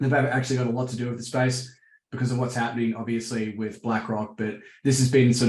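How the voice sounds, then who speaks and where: In an Australian accent, a man talks with monotone, flat intonation. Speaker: crypto market analyst. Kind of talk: interview. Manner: hesitant, many fillers.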